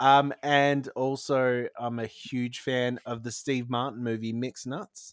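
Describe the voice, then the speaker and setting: Speaking with an Australian accent at a fairly slow pace and medium pitch, a man delivers flat, monotone lines with hardly any pauses, recorded dry and close with no echo. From New South Wales, Australia. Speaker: podcast host. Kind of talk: casual chat.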